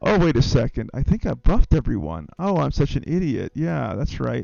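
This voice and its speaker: With music in the background, a man speaks in a calm tone at a moderate pace. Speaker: video game streamer. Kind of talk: livestream gameplay commentary. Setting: livestream. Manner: calm, laid-back; low-key, not overly excited.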